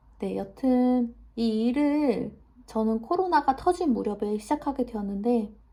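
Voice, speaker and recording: A woman at a very slow pace, with a fairly high pitch. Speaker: massage therapist and new YouTuber. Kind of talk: self-introduction vlog. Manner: halting, stumbles over words; many filler 'eo' pauses.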